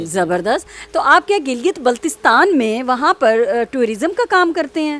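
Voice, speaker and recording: The woman's high voice moves through very wide pitch swings. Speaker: interviewer, show host. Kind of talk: interview questions.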